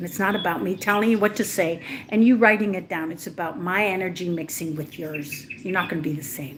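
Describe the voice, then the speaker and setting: A woman's animated, fairly low voice with lively intonation, audible room echo and noticeable background noise. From Israel. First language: not English. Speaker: spiritual coach. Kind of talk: livestream talk. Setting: livestream.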